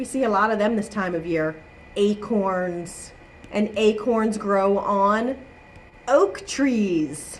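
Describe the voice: A woman at medium pitch talks at a slow pace with ordinary pitch variation, and room echo is audible.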